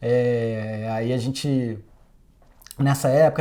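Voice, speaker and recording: The intonation stays fairly even in a very clean recording with a silent background. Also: man. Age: 40s. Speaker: sound engineer. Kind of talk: interview monologue. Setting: recording studio. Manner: casual, hesitant with fillers.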